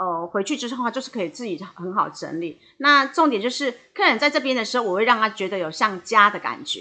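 A woman's fairly high, bright, sharp voice, with very wide pitch swings and a fairly quick pace, against a quiet background. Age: 50s. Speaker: hairdresser and salon owner. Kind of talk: interview. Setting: podcast recording. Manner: fluent.

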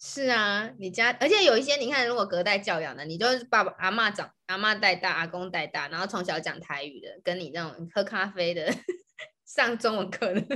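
Her tone bright and sharp, a woman speaks at a medium pitch with lively intonation. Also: fairly quick pace. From Taiwan. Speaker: podcast co-host, Chinese tutor. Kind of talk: casual chat.

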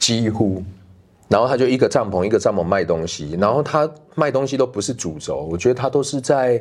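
Over a quiet background, a man at medium pitch talks at a fairly quick pace with vocal fry. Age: middle-aged. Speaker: documentary director. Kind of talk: casual interview. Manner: halting.

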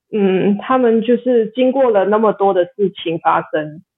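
A woman speaks with lively intonation. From Macau. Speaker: backpacker and volunteer. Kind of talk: casual interview chat. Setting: remote call. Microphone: low-bandwidth connection, some lag.

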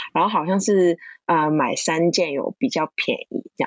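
A woman with a Cantonese accent speaks at a fairly slow pace. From Hong Kong. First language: Cantonese (speaking Chinese). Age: 20s. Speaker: counseling psychology graduate. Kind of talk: casual interview.

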